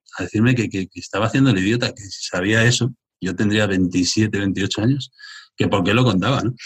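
This man speaks at a fairly quick pace in a fairly low, somewhat breathy voice with fairly even intonation. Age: 50s. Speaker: entrepreneur. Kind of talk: live interview in front of audience. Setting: live event with young audience.

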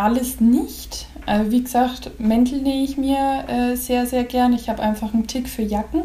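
Over noticeable background noise, a woman with a high pitch speaks at a fairly slow pace in a monotone, flat intonation. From Upper Franconia, Pottenstein. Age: 20s. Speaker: seamstress, bridal consultant. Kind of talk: casual interview.

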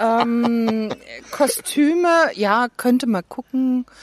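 Loud and at a very slow pace, a woman speaks at a fairly high pitch with lively intonation, in a dry, close sound with no echo.

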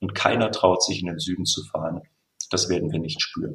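This man's voice is very deep and low, and somewhat breathy. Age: 50s. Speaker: camping booking platform employee. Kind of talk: casual chat.

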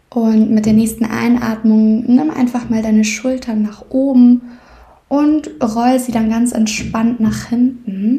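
Her tone is gentle, soothing, dark and mellow, set at a fairly high pitch for a woman. She speaks at a very slow pace with fairly even intonation. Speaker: podcast host and meditation guide. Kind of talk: guided meditation. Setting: podcast recording, solo. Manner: slow, soothing, calm; gentle, unhurried, with long pauses.

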